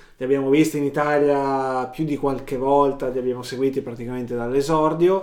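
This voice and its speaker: Speaking at a fairly quick pace with hardly any pauses, a man uses a fairly high pitch and fairly even intonation. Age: middle-aged. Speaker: podcast co-host and sound technician. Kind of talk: casual chat.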